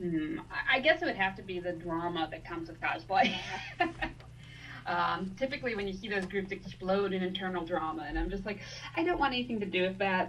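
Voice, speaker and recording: A woman of medium pitch talks fairly quickly with lively intonation. There is audible room echo and noticeable background noise. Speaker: cosplayer. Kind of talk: casual interview.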